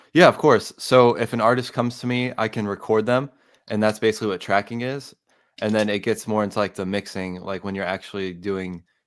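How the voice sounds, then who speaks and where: With an American accent, a man talks at a fairly quick pace in a plain, everyday voice. His pitch is fairly low and his intonation fairly even, on a very clean recording with a silent background. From US South, Atlanta, Georgia. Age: 20s. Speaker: music producer and audio engineer. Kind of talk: casual interview.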